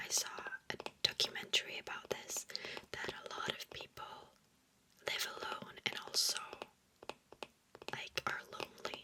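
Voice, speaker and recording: Someone whispers at a moderate pace with long, frequent pauses over noticeable background noise. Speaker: ASMR content creator. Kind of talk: ASMR whisper reading of facts. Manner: whispered, soft-spoken.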